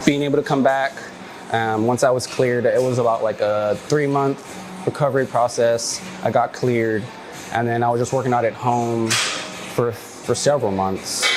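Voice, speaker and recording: With music playing in the background, a man with an American accent speaks in a relaxed tone with ordinary pitch variation. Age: 30s. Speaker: skateboarder. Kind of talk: casual interview monologue. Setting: local gym. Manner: relaxed, filler-heavy.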